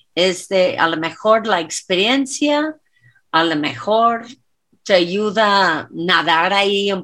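Speaking in an English accent, a woman with a bright, sharp tone and medium pitch uses lively intonation in a very clean recording with a silent background. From US South, Louisiana. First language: English (speaking Spanish). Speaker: dance teacher and choreographer. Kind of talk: casual chat.

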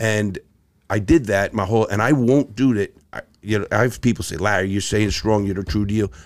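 A man in a New York accent, fairly low in pitch, at a fairly quick pace with ordinary pitch variation. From New York City (Bronx, Brooklyn). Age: 60s. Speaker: ex-convict turned motivational speaker. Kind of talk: casual interview chat.

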